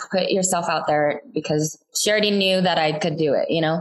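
A woman's ordinary speaking voice with an American accent, at a moderate pace and with ordinary pitch variation. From US West Coast. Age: 30s. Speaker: TikTok content creator. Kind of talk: casual interview chat.

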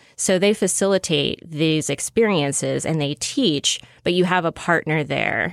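A woman with an American accent speaks in a fairly low pitch with vocal fry and ordinary pitch variation, leaving hardly any pauses. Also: fairly slow pace. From US South, Shreveport, Louisiana. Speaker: sex coach. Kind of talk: advice interview. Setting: studio.

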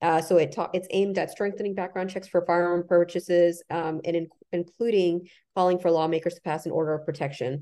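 Fairly quick and fairly low-pitched, a woman with an American accent speaks in a dark, mellow tone. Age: 30s. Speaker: political commentator. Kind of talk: casual chat.

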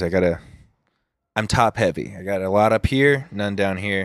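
With an American accent, a man with an ordinary speaking voice and fairly low pitch talks at a moderate pace in a dry, close sound with no echo. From Southern California, Huntington Beach. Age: 20s. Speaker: YouTuber and singer-songwriter. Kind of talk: casual chat. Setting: outdoor balcony.

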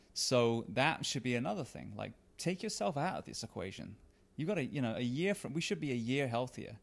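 A man's voice at medium pitch, with vocal fry, very wide pitch swings and a fairly quick pace. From England. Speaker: retired firefighter, author and podcast host. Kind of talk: casual interview chat. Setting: in-person recording.

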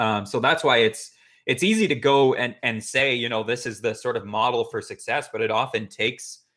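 This man talks in a normal speaking voice, pitched at a medium level. He keeps a moderate pace with fairly even intonation. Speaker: podcast co-host. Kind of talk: casual podcast interview.

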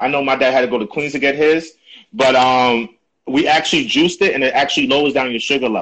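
Ordinary pitch variation marks a man talking at a very fast pace. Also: fairly high pitch for a man. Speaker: podcast host. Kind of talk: casual interview chat.

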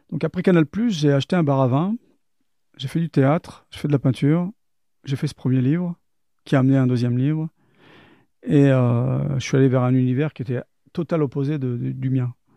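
A man talks at a moderate pace in a fairly high pitch, with a dark, mellow tone. The sound is dry and close with no echo, broken by long, frequent pauses. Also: ordinary pitch variation. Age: 50s. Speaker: former intelligence agent and soldier. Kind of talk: testimony. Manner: halting.

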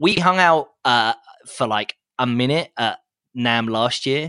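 Lively in intonation, a man speaks at medium pitch with a bright, sharp tone. The sound is dry and close with no echo, over a quiet background. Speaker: guitar podcast host, guest. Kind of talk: casual chat. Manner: halting, many repetitions and fillers.

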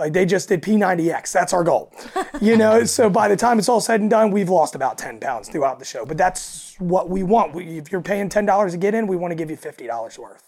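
A raspy woman's voice, fairly low-pitched and slightly mellow, fairly quick with few pauses and lively intonation

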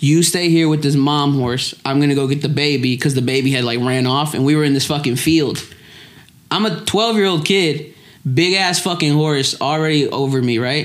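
A man's fairly high voice at very even loudness, with ordinary pitch variation and audible room echo. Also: moderate pace. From Lexington, Kentucky. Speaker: comedian. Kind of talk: casual chat.

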